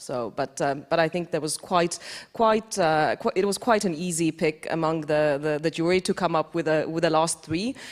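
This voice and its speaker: The speaker has an Estonian accent. The pace is moderate. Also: woman, fairly low pitch for a woman, ordinary pitch variation. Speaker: defense innovation executive, award jury member. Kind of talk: panel discussion.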